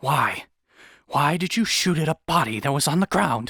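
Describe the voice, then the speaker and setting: A man puts on a character voice, pitched fairly high. His intonation is lively and his pace moderate. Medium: read story.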